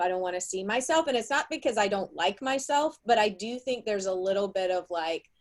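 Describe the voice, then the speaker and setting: A woman with a Southern US accent speaks with lively intonation. The recording is very clean, with a silent background. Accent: Southern US drawl. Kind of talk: live panel discussion. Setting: live video stream.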